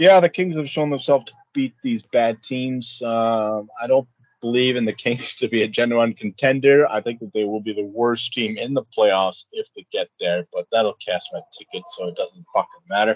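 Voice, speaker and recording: A man with a normal speaking voice talks at medium pitch and a moderate pace, with hardly any pauses. His pitch varies in an ordinary way, while his loudness swings widely. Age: 30s. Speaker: sports betting podcast co-host. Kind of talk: casual chat. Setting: outdoors on a balcony.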